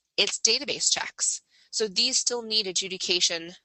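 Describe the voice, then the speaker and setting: There is ordinary pitch variation as this woman talks. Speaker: webinar presenter on background screening. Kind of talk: webinar presentation. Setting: online webinar. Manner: fast; animated, conversational.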